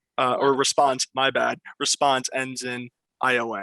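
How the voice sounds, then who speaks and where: The man's voice sits at a medium pitch with a bright, sharp tone. The sound is dry and close, without echo. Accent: Pennsylvania. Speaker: quiz show host. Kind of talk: game show hosting. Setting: video call.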